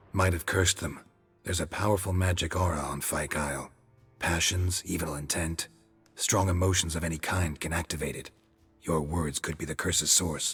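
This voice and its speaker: Over faint music in the background, a man uses a put-on character voice with a very deep, low pitch at a moderate pace. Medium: video game. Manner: terse, clipped, flat.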